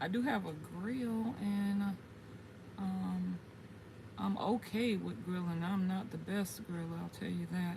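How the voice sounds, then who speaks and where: A woman with an American accent speaks at a fairly slow pace. The room echo is audible, and background noise is noticeable. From US South, South Carolina (Gullah Geechee area). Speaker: gardening YouTuber, military veteran. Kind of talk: livestream casual chat. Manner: chatty, halting with fillers.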